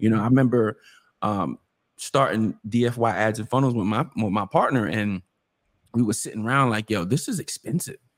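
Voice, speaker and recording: A man talks at a medium pitch and a moderate pace with ordinary pitch variation. The sound is dry and close with no echo, and the recording is very clean, with a silent background. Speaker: sales coach, podcast co-host. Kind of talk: casual chat. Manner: casual, energetic.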